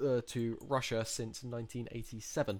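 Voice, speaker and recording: This is a man with a medium-pitched voice. His intonation is flat and monotone. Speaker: podcast host. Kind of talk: casual chat.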